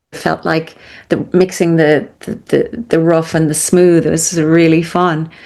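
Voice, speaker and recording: With an Irish accent, a woman talks at a fairly slow pace, her fairly low pitch showing ordinary variation. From Ireland. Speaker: conductor and composer. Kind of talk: interview answer.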